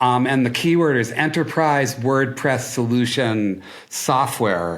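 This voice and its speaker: Speaking at a very slow pace, a man with an American accent uses a medium pitch and ordinary pitch variation, with audible room echo around him. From Minnesota (Duluth). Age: 60s. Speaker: marketing agency founder. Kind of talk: podcast interview. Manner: animated.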